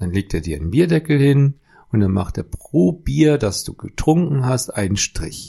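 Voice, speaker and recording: A man speaks at a fairly slow pace and a medium pitch, with very wide pitch swings. His tone is dark and mellow, somewhat breathy. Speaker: podcast co-host. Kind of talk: casual chat. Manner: slow with long thinking pauses.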